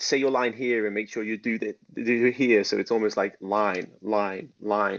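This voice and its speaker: Speaking at a moderate pace, the man keeps a fairly low pitch with fairly even intonation. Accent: Liverpool. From Liverpool, England. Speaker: actor and dance teacher. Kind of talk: interview.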